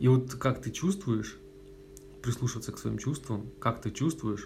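With vocal fry and ordinary pitch variation, a man speaks at a fairly slow pace. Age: 20s. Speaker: podcast host. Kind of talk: casual chat. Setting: at a friend's home.

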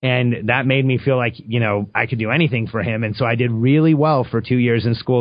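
Talking fairly quickly, the man keeps a medium pitch and ordinary pitch variation. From Mexico, raised in Southern California from age five. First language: Spanish. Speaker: entrepreneur. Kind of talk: interview.

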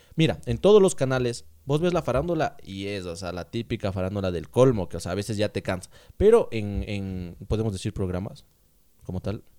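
A man with a fairly low pitch and a dark, mellow tone speaks at a fairly quick pace with lively intonation and big swings in loudness, on a very clean recording with a silent background. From Ecuador, Ambato. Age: 20s. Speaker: podcast co-host stand-in. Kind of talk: casual chat.

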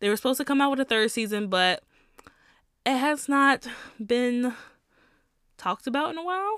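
A woman speaks in a high voice with long, frequent pauses, on a very clean recording with a silent background. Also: lively intonation. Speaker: podcast host. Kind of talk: casual solo monologue.

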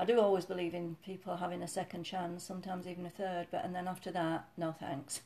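A woman with a Yorkshire accent speaks at a very fast pace with hardly any pauses, her pitch fairly low and her tone dark and mellow. Her intonation is monotone and flat. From Yorkshire, northern England. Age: 60s. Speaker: mother, retired fitness instructor. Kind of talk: casual chat, interview with daughter or son.

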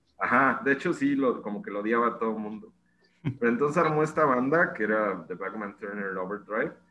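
A man's medium-pitched voice, bright and sharp in tone, with lively intonation at a fairly quick pace. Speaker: podcast co-host. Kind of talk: casual chat.

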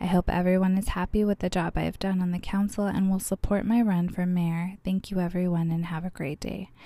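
A woman with an American accent talks at a fairly quick pace with hardly any pauses and monotone, flat intonation. Her medium-pitched voice is somewhat breathy, with a dark, mellow tone. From Arizona (Bullhead City). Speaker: podcast host, city council member. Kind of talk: solo podcast monologue.

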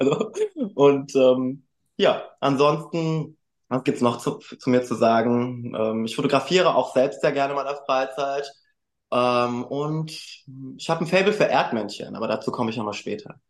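This is an unremarkable speaking voice at a moderate pace. Pitch variation is ordinary. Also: man, fairly high pitch for a man. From Germany, Frankfurt. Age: 20s. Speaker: male model and student. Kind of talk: podcast interview.

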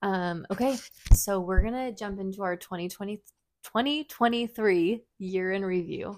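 A woman with a plain, everyday voice speaks at a medium pitch and a moderate pace, with ordinary pitch variation. Her loudness swings widely, and the recording is very clean with a silent background. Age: 30s. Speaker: podcast host, mother of twins. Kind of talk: casual chat.

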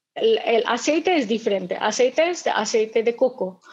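With an Indian accent, a woman speaks at a fairly slow pace. Her pitch swings very widely. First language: Indian language (speaking Spanish). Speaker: restaurant events manager. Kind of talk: webinar talk. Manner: halting.

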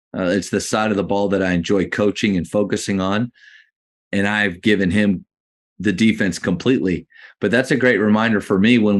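A man speaks in a plain, everyday voice at a fairly low pitch with fairly even intonation. The background is quiet. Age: 40s. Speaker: podcast host. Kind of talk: interview. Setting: video call.

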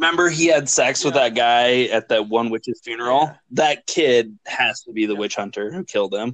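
This is a normal speaking voice at a moderate pace. Pitch varies in an ordinary way, and there are hardly any pauses. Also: man, medium pitch for a man. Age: 30s. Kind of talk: casual chat.

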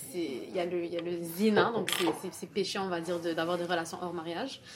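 A woman speaks at a medium pitch and moderate pace, with audible room echo and noticeable background noise. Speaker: university student. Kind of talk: casual discussion.

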